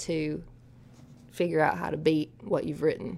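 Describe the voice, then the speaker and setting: A woman speaks with an Appalachian accent. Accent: Appalachian Southern US. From Eastern Kentucky, US. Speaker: country singer-songwriter. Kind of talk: interview.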